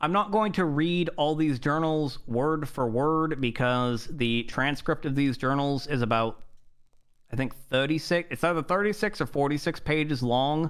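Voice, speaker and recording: An unremarkable speaking voice from a man, fairly high in pitch, with ordinary pitch variation, very even loudness and a moderate pace. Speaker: roleplay streamer playing a judge. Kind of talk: roleplay courtroom monologue.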